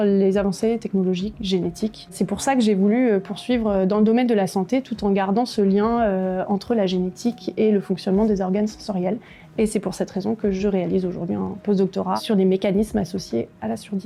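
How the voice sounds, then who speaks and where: Against noticeable background noise, a woman talks at a fairly quick pace and medium pitch with hardly any pauses, fairly even intonation and very even loudness. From France, Bresse (Ain). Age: 30s. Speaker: neuroscience researcher. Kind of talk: prepared video testimony. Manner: hesitant, frequent fillers.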